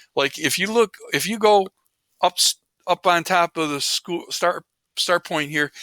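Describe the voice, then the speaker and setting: Recorded very cleanly against a silent background, a man with a fairly high pitch and a bright, sharp tone speaks at a moderate pace with ordinary pitch variation. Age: 60s. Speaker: teacher. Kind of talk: lecture. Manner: casual, conversational.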